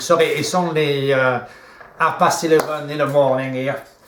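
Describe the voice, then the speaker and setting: Against noticeable background noise, a man with a French accent speaks at a moderate pace. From France. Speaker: video host, coach. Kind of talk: casual chat. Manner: halting.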